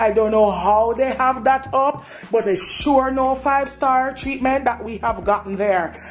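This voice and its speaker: A woman's high-pitched voice in a Jamaican accent, at a moderate pace with ordinary pitch variation, over music in the background. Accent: Jamaican Creole patois. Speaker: dissatisfied hotel guest. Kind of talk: complaint testimony. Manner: animated.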